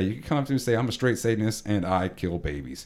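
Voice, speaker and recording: A man with an American accent at a very fast pace, with lively intonation, in a very clean recording with a silent background. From Texas. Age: 20s. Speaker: podcast host. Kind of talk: casual chat. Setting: studio.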